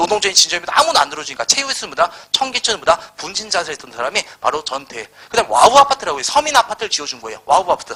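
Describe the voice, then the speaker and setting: Over noticeable background noise, a man with a high pitch talks at a very fast pace in an animated tone, his voice making very wide pitch swings. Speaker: history lecturer. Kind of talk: lecture. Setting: live classroom lecture.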